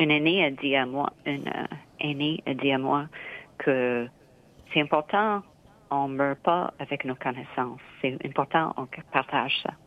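A woman speaks very slowly with a very deep, low pitch. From Nova Scotia, Canada (Mohawk, born in Kahnawake). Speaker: dancer and choreographer. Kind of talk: interview.

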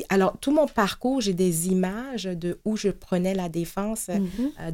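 Very slow, lively intonation from a woman, in a very clean recording with a silent background. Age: 50s. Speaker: nonprofit executive. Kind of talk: interview. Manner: halting.

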